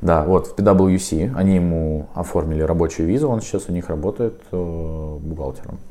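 A man speaks with a very deep, low pitch. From Ukraine, Donetsk. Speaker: university student and IT worker. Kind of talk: interview.

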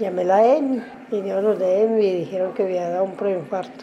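A woman with a medium-pitched voice keeps fairly even intonation as noticeable noise sounds behind her. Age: 60s. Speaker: stroke survivor. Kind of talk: testimony.

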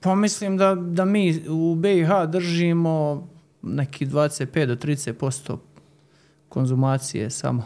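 A man's very slow speech with a dark, mellow tone and ordinary pitch variation. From Herzegovina, Bosnia and Herzegovina. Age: young. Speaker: winemaker. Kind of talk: interview. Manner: halting, repeats words.

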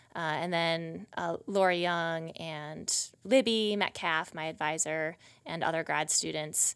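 A woman with an American accent speaks at a fairly low pitch, very slowly, with hardly any pauses. Her intonation is fairly even, on a very clean recording with a silent background. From US Midwest, rural Wisconsin. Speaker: PhD student, researcher. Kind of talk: interview. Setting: studio.

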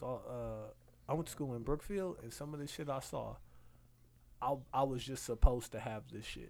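Moderate pace and ordinary pitch variation. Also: man. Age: 20s. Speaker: podcast host. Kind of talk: casual chat. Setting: studio.

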